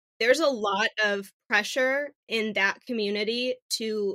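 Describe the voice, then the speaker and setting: A woman's bright, sharp voice with an American accent, fairly high in pitch with ordinary pitch variation, in a very clean recording with a silent background and a dry, close sound with no echo. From Phoenix, Arizona. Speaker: podcast co-host, breast cancer patient. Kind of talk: casual chat.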